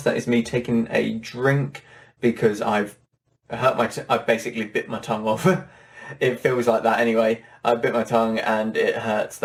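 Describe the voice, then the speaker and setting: Putting on a character voice, a man speaks at a moderate pace and medium pitch, raspy and in a flat monotone. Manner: apologetic, pushing through.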